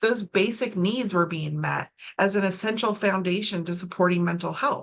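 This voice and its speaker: An unremarkable speaking voice from a woman, medium in pitch, at a moderate pace with ordinary pitch variation. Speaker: suicide prevention trainer. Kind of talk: training presentation.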